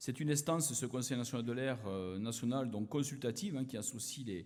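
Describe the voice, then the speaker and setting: Room echo is audible as a man speaks with an Occitanie accent. His pitch is medium, with ordinary variation, and his pace moderate. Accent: southern French (Occitanie). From southern France, Aveyron. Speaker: politician, former research chemist. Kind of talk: conference opening speech. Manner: hesitant, many fillers.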